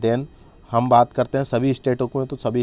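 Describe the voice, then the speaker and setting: A man speaks in a dark, mellow tone. His intonation stays monotone and flat. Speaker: online tutor for job exams. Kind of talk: tutorial.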